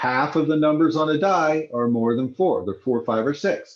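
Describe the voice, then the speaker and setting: A man's ordinary speaking voice, with its fairly high pitch and lively intonation, moves at a moderate pace. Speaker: teacher. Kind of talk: lecture. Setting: recorded video lesson. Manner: casual.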